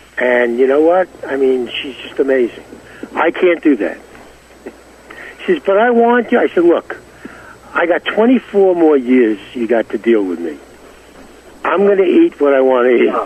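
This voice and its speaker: Pitched fairly high for a man and swinging very widely in pitch, this American-accented male voice moves at a moderate pace with long, frequent pauses amid noticeable background noise. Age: 70s. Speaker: 1960s pop singer. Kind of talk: casual interview chat.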